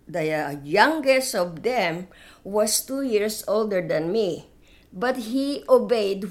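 A woman speaks very slowly at a medium pitch with lively intonation, and the room echo is audible. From Philippines, Manila. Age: 80s+. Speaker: retired teacher, war survivor. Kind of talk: interview storytelling. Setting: at home.

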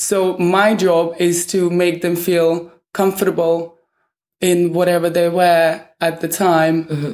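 This woman speaks with a Russian accent. Her pitch is fairly low. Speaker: fashion stylist. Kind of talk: interview. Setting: hotel room.

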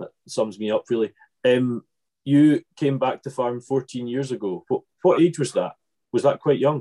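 This man has a Scottish island accent and a medium pitch. He talks at a moderate pace with ordinary pitch variation. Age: 20s. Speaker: podcast host. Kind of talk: casual interview chat. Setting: video call.

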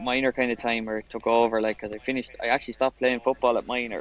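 With an Irish accent, a man speaks very fast at a medium pitch, the sound dry and close with no echo. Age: 30s. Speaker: amateur golfer and police officer. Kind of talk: casual chat.

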